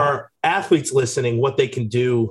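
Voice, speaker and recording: A man speaks at a moderate pace in a somewhat breathy voice. His pitch is fairly high, with ordinary pitch variation. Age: 30s. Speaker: podcast co-host, former college football player. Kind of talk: casual chat.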